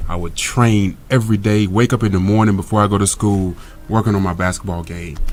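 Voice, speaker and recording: A man with an American accent speaks at a fairly quick pace. His intonation stays fairly even. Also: fairly low pitch for a man. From US South, Monroe, Louisiana. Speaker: actor and former pro basketball player. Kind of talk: interview.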